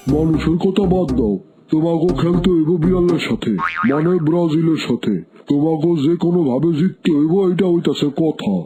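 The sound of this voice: A cartoonish character voice at a middle pitch plays over sound effects in the background. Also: moderate pace.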